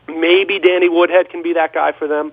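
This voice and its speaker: A loud, high-pitched male voice at a moderate pace amid noticeable background noise. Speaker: sports reporter. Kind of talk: sports talk radio chat.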